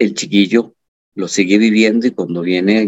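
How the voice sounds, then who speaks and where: Speaking at a fairly quick pace, a man with an unremarkable speaking voice and fairly low pitch uses ordinary pitch variation in a dry, close sound with no echo. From Costa Rica, Turrialba. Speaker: high school teacher. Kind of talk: interview.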